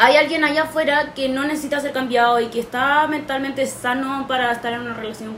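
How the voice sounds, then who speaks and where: In a Chilean accent, a woman with a high pitch speaks at a moderate pace with ordinary pitch variation. There is audible room echo and noticeable background noise. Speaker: podcast host. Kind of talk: casual chat.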